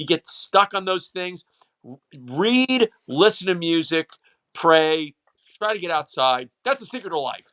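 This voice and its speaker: A man with a high, bright and sharp voice speaks in an animated tone with lively intonation and big swings in loudness. He takes long, frequent pauses, and the sound is dry and close with no echo. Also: fairly slow pace. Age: 60s. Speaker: high school football broadcaster. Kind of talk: casual chat.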